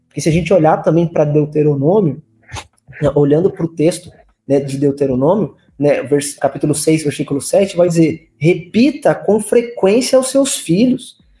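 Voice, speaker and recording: The voice carries a dark, mellow tone, moving at a moderate pace with ordinary pitch variation. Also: man. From São Paulo state (Limeira), born in Recife. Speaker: youth pastor. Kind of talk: casual podcast conversation. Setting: live-streamed podcast studio.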